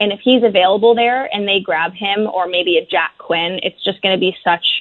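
At a moderate pace, a woman with a medium pitch and ordinary pitch variation talks in an unremarkable speaking voice. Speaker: hockey journalist. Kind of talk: radio interview.

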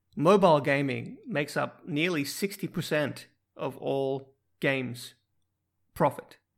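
Speaking at a fairly slow pace with long, frequent pauses, a man uses a fairly high pitch with ordinary variation and vocal fry. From Finland. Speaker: podcast co-host. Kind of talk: casual chat.

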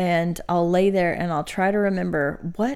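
A woman talks at a moderate pace with a fairly low pitch. It is an ordinary speaking voice. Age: 30s. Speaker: podcast co-host and seminary student. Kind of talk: casual Bible study chat.

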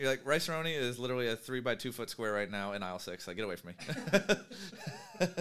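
A man's voice with very wide pitch swings, over noticeable background noise. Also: medium pitch for a man, fairly quick pace. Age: 30s. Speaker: podcast host and entrepreneur. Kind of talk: casual chat.

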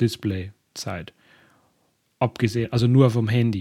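A man speaks at a fairly slow pace with a dark, mellow tone and medium pitch. His intonation stays fairly even. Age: 30s. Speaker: solo podcast host. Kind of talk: casual monologue. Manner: hesitant with many fillers.

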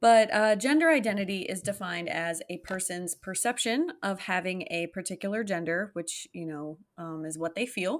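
In a plain, everyday voice, a woman speaks at a moderate pace and medium pitch with lively intonation, big swings in loudness and hardly any pauses, in a very clean recording with a silent background. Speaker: podcast co-host. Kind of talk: casual chat podcast banter.

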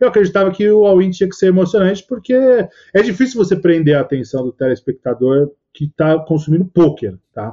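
This male speaker moves at a fairly quick pace. Very wide swings mark his pitch. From Brazil. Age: 40s. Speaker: poker commentator. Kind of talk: casual interview chat.

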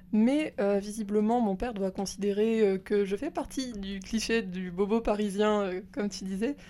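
A woman's medium-pitched voice, dark and mellow in tone, comes through on a very clean recording with a silent background. She talks at a fairly slow pace with hardly any pauses and fairly even intonation. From rural France. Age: 20s. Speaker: host's cousin. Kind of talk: casual chat. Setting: at her home.

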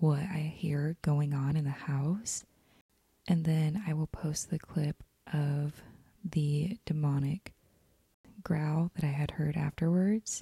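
In an American accent, a somewhat breathy, dark and mellow voice moves at a very slow pace with fairly even intonation, dry and close with no echo. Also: woman. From Utah. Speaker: podcast host. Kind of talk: casual chat.

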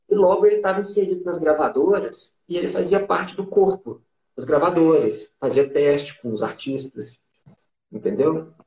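A man's high-pitched voice with a dark, mellow tone, lively intonation and a moderate pace. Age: 20s. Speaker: musician. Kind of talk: casual interview. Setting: on camera.

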